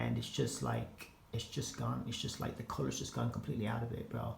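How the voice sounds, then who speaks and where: A man with an American accent speaks, and audible room echo surrounds his voice. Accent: American twang. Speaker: fashion and gaming vlogger. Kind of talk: casual vlog. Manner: halting, many repetitions and filler words; casual slangy delivery.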